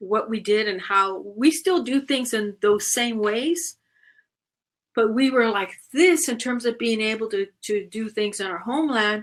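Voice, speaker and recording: This is a woman with an ordinary speaking voice and a fairly high pitch. She talks at a fairly slow pace with ordinary pitch variation. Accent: American. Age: 60s. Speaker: panelist. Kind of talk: panel discussion.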